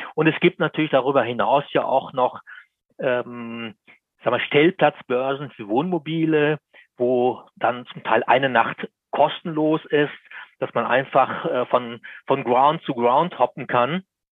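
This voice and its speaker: A man's medium-pitched voice moves at a very slow pace, with ordinary variation in pitch. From Lower Bavaria, Germany. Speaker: motoring journalist. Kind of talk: interview.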